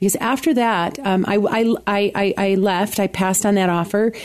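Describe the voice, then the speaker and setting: A woman talks at medium pitch with fairly even intonation. It is a plain, everyday voice. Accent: American. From Buffalo area, New York. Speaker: arts organization leader and opera singer. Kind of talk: radio interview. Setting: studio.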